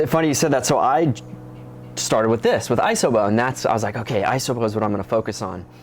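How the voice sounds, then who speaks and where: Ordinary pitch variation marks a man's medium-pitched voice at a very fast pace. Noticeable background noise is present. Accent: American. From Arizona, Phoenix area. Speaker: fitness company president. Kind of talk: interview.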